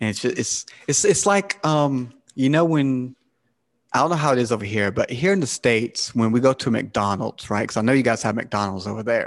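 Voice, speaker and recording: Using lively intonation, a man with a Southern US accent talks at a medium pitch and moderate pace. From South Carolina, US South. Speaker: podcast host. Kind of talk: casual chat.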